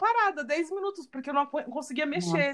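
A woman's high voice at a very fast pace. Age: 30s. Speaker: podcast host. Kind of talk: casual chat.

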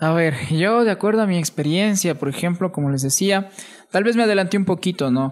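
Speaking at a fairly quick pace, a man uses a high-pitched voice. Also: ordinary pitch variation, very even loudness. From Ecuador, Atuntaqui (Imbabura). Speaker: podcast guest. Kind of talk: casual chat.

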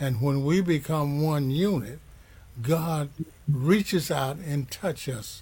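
Somewhat breathy, this man's voice has a dark, mellow tone and a fairly high pitch. He speaks at a very slow pace with ordinary pitch variation. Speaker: minister leading a church broadcast. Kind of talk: sermon. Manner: halting.

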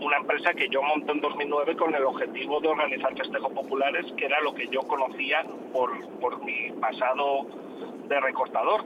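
Fairly quick, monotone speech with flat intonation and noticeable background noise. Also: man. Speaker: bullfighting promoter. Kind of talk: phone interview. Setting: in a car. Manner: hesitant, repeats words.

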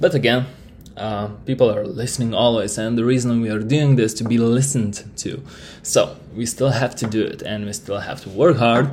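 Somewhat breathy, a man with a Lithuanian accent speaks at a medium pitch and moderate pace with fairly even intonation. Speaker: podcast host. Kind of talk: solo monologue. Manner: halting.

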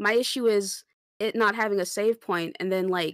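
The woman has a bright, sharp tone. She speaks at a fairly high pitch and moderate pace. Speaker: gamer guest. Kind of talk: casual chat.

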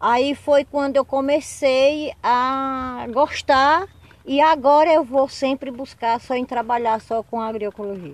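A woman speaks at a very slow pace with a high pitch. Her intonation stays fairly even. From Brazil, Sergipe backcountry (Nossa Senhora da Glória). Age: 50s. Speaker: agroecology farmer. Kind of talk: interview. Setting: on her farm. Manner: halting, repetitive.

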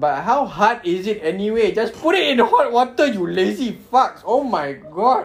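The speaker, in a Malaysian accent, talks with hardly any pauses over noticeable background noise. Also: moderate pace. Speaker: podcast host. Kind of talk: casual banter. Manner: joking, sarcastic.

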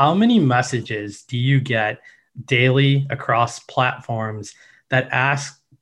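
Over a quiet background, a man speaks at a medium pitch with fairly even intonation. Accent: Midwestern. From Chicago, US. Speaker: podcast host. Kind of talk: interview.

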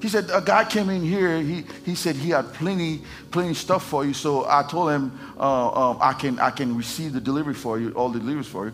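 With a Haitian accent, a man talks at a fairly quick clip, his fairly high voice carrying lively intonation. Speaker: pastor. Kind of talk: sermon. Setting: church.

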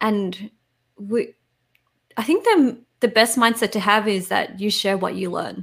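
Somewhat breathy, a woman talks at a fairly slow pace with fairly even intonation and long, frequent pauses. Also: fairly high pitch for a woman. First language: Vietnamese. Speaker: startup founder, content creator. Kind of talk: interview.

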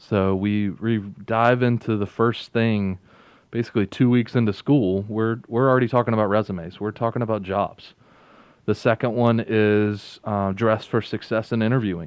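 In a North Carolina accent, a man with a fairly low pitch talks at a moderate pace with monotone, flat intonation. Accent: Southern US (North Carolina). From rural northeastern North Carolina. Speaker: golf program internship director. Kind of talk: interview. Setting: studio.

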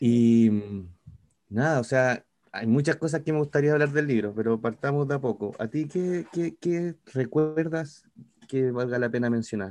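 A man with a Chilean accent at a fairly slow pace, medium pitch and ordinary pitch variation. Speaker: podcast co-host. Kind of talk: casual chat.

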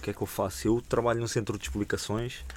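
At a fairly quick pace, a man talks at a fairly low pitch in an unremarkable speaking voice. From Portugal, Rebeleira (Amadora). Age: 20s. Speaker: hip hop podcaster and history teacher. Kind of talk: casual chat.

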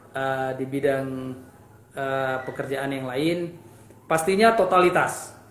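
Audible room echo surrounds the voice. A man speaks at a fairly slow pace with ordinary pitch variation. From Indonesia, Aceh. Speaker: football coach. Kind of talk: interview.

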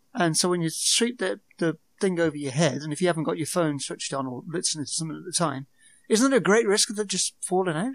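A man's high-pitched voice with a British accent, lively intonation and a very fast pace. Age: 40s. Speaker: podcaster.

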